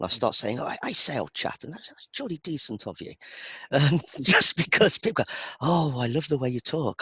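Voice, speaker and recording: A man talks at a fairly quick pace in a bright, sharp tone, recorded with a dry, close sound and no echo. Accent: Birmingham. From England, Birmingham. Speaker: IT database performance expert. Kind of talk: casual chat.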